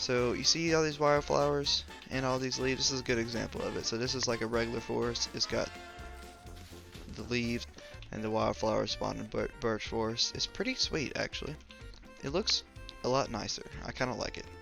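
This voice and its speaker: Music plays in the background as a man talks at a fairly quick pace broken by long, frequent pauses. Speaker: gaming video creator. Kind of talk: casual gameplay commentary. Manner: casual, hesitant with fillers.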